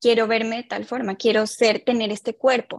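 Captured in a dry, close sound with no echo, a woman with an ordinary speaking voice talks at a fairly quick pace. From Colombia. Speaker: clinical psychologist. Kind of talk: interview on mental health.

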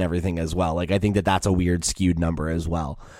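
A man talks with an American accent. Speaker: podcast host. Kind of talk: casual chat. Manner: casual, jokey.

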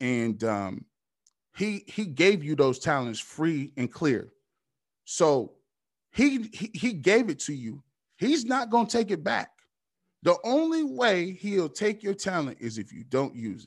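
With long, frequent pauses, very wide pitch swings and big swings in loudness, the speech moves at a fairly slow pace on a very clean recording with a silent background. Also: man, high pitch for a man. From Ohio, US Midwest. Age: 30s. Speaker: sports radio host. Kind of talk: casual chat.

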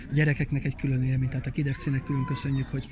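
Monotone, flat delivery from a man at medium pitch, with noticeable background noise. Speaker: event organizer, amateur footballer. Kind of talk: interview.

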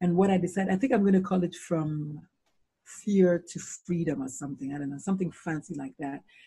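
Speaking at a fairly quick pace, a woman has a dark, mellow tone, a fairly low pitch, ordinary pitch variation, a somewhat breathy quality and big swings in loudness. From Nigeria. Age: 50s. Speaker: pediatrician and suicide-prevention speaker. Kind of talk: interview.

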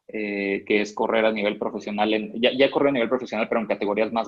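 Speaking at a very fast pace, a man keeps a monotone, flat intonation at a fairly low pitch. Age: 20s. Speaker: network marketing distributor. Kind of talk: training talk.

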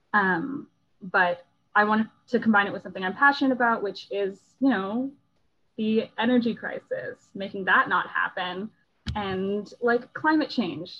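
Speaking at a moderate pace with an American accent, a woman has an unremarkable speaking voice, a fairly high pitch and ordinary pitch variation. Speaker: engineering student. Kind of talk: casual chat.

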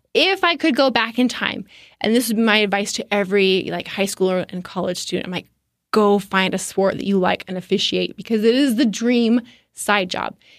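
Recorded very cleanly against a silent background, the speaker uses a plain, everyday voice at a moderate pace with ordinary pitch variation. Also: woman, medium pitch for a woman. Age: 30s. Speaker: state politician and sports referee. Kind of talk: casual interview.

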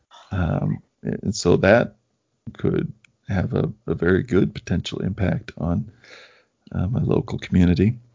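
A man with a very deep, low voice and vocal fry speaks fairly slowly with lively intonation, leaving long, frequent pauses. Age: 40s. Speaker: podcast host, former physician colleague. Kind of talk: casual conversation interview.

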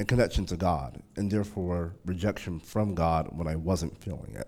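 A man with an American accent speaks at a moderate pace in a very deep, low voice. His tone is dark and mellow, on a very clean recording with a silent background. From North Carolina, US South. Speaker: church elder sharing testimony. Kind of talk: testimony. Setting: church.

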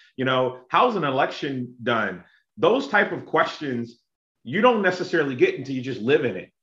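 A man with an American accent speaks at a moderate pace in an unremarkable speaking voice. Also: fairly high pitch for a man. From South Carolina (Lexington). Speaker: local city official. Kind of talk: casual interview.

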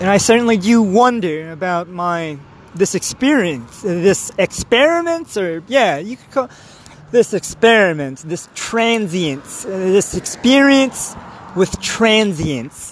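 A man speaks very slowly in a high voice, his intonation lively and his loudness swinging widely, over noticeable background noise. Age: 30s. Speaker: solo podcaster. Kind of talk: rambling monologue. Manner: halting; laughs often.

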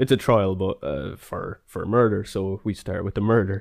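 A man's fairly low voice at a moderate pace, a normal speaking voice. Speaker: podcast host. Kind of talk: casual chat, history podcast.

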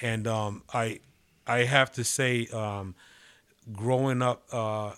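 In a very clean recording with a silent background, a normal speaking voice with an American accent carries fairly even intonation. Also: man. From New York City (Manhattan). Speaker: pastor. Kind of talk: interview testimony.

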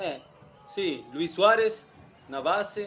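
A man with a Spanish accent at a very slow pace, lively in intonation, with audible room echo and noticeable background noise. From Uruguay, Montevideo. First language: Spanish (speaking Portuguese). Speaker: former footballer. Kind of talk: casual interview. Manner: halting.

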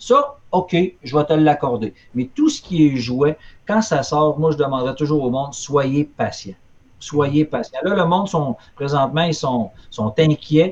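Speaking with a Quebec accent, a man sounds somewhat breathy at a fairly high pitch, with ordinary pitch variation and a fairly slow pace. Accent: Québécois French. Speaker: collectibles retailer. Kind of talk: casual chat.

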